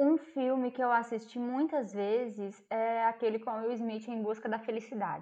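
This woman's voice sits fairly high and keeps a fairly even intonation. She talks at a moderate pace with hardly any pauses. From Brazil, interior of Minas Gerais. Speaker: psychologist. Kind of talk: casual chat. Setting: remote call.

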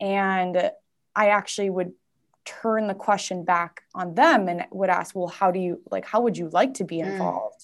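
With an American accent, a woman speaks at a medium pitch and a moderate pace, her intonation fairly even against a quiet background. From US Midwest, Twin Cities (Minnesota). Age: 20s. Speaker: women's community founder. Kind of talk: casual interview chat. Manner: halting, many fillers.

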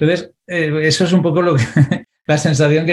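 A man with a fairly high pitch and a dark, mellow tone talks at a very fast pace with fairly even intonation. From Valencia, Spain. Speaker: financial advisor and entrepreneur. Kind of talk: interview. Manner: halting, with frequent repetitions.

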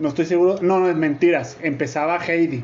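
With a Mexican accent, a man speaks in an animated tone at a high pitch. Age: 30s. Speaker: podcast host. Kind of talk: casual chat.

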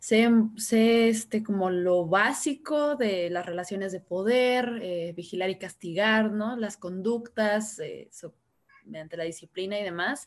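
A woman speaks at a fairly slow pace in an ordinary speaking voice, her pitch medium with ordinary pitch variation. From Guadalajara, Jalisco, Mexico. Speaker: philosophy graduate. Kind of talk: discussion panel.

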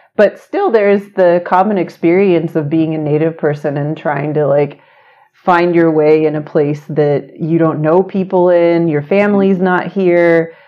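A woman with an American accent speaks in a plain, everyday voice, fairly low in pitch, at a fairly slow pace with fairly even intonation. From Oklahoma, US. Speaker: university diversity administrator and psychologist. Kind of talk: interview conversation.

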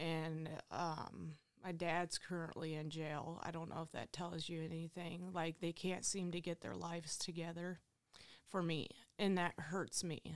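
This woman speaks with a Midwestern American accent at a fairly slow pace. Her pitch sits fairly low, and her intonation is monotone and flat. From Ohio, Findlay. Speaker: recovering addict. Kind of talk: testimony. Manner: casual, filler-heavy.

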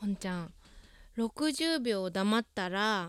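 A woman's ordinary speaking voice, very cleanly recorded against a silent background, with a dry, close sound and no echo. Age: 20s. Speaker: podcast host. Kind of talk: casual monologue.

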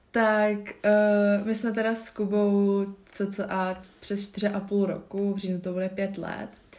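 Fairly slow speech from a woman, medium in pitch, with monotone, flat intonation. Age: 20s. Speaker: yoga instructor and nutrition advisor. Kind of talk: casual interview. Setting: recorded at guest's home. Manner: hesitant, many fillers.

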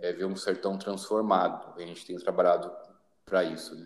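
A man is speaking here. His intonation is flat and monotone. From Brazil, São Paulo city. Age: 30s. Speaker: social project leader and missionary. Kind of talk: podcast interview.

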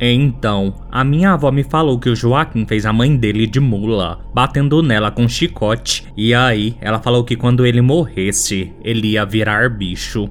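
In a Brazilian accent, a man speaks at medium pitch with ordinary pitch variation and a dramatic tone. His pace is fairly slow, with very even loudness and hardly any pauses. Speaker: podcast host. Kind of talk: ghost story telling. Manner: dramatic, suspenseful storytelling.

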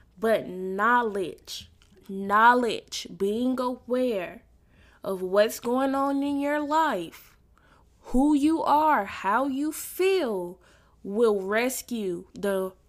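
A woman with a fairly high pitch speaks at a very slow pace with lively intonation. The recording is very clean, with a silent background. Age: 20s. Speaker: podcast host. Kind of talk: personal faith-based reflection monologue.

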